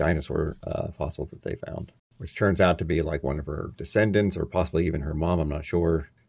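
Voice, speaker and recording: A man with a very deep, low pitch talks with vocal fry and ordinary pitch variation. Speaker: podcast co-host. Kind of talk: casual chat.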